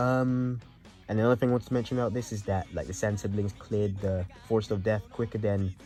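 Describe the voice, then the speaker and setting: A quiet man with a fairly low pitch, ordinary pitch variation and a fairly quick pace, with music in the background. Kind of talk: casual anime review talk to camera.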